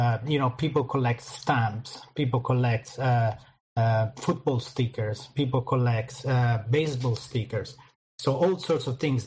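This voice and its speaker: The voice, with an Italian accent, is somewhat breathy and moves at a fairly slow pace. Its loudness stays very even and its intonation fairly even. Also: man, medium pitch for a man. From Italy. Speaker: crypto marketing project manager. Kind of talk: interview.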